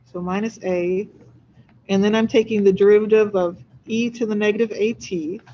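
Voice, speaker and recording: A woman has an ordinary speaking voice at medium pitch. She keeps a moderate pace and fairly even intonation. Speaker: physics instructor. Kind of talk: lecture.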